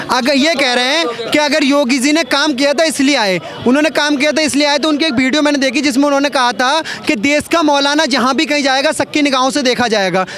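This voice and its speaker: An extremely high-pitched man speaks at a moderate pace with hardly any pauses, ordinary pitch variation and very even loudness. Crowd noise sits in the background. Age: young. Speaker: member of the public in street interview. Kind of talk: heated debate.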